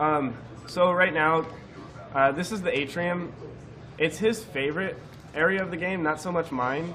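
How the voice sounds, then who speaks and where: Someone speaks at a moderate pace with ordinary pitch variation and long, frequent pauses, amid audible room echo and noticeable background noise. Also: man, high pitch for a man. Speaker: speedrunner commentating own run. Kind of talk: live gameplay commentary. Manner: halting, many fillers.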